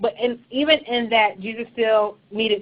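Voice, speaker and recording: A woman with an unremarkable speaking voice, moderate pace and fairly even intonation. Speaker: church leadership trainer. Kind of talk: webinar presentation. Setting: online webinar.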